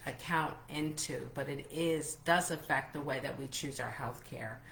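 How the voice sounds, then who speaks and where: Amid noticeable background noise and audible room echo, a woman speaks at a moderate pace with a very deep, low pitch and monotone, flat intonation. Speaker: travel entrepreneur and livestream host. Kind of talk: live interview. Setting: Facebook group livestream. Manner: stumbling over words.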